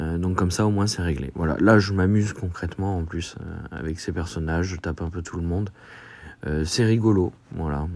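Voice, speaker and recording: Speaking at a moderate pace, a man uses a very deep, low pitch that varies in an ordinary way. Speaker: gaming YouTuber. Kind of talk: gameplay commentary. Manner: hesitant, many filler sounds.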